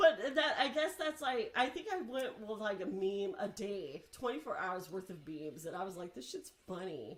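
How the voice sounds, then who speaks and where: A woman speaks at a moderate pace and medium pitch with an animated tone and hardly any pauses. Her pitch swings very widely and her loudness varies greatly. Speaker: horror content creator and podcaster. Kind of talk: casual chat.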